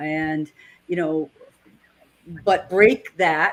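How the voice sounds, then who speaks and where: A woman speaks with a New England accent. Her pace is very slow. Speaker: network marketer, co-host. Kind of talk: casual discussion.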